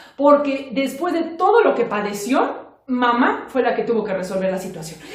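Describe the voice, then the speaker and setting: Against noticeable background noise, the woman's pitch rises and falls in very wide swings. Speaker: storyteller. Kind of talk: children's oral storytelling. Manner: lively, expressive.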